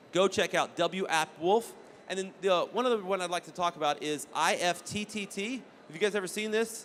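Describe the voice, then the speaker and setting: A man with a high pitch and an animated tone speaks at a fairly quick pace with ordinary pitch variation. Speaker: game event host and presenter. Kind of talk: presentation to a live audience. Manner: fast.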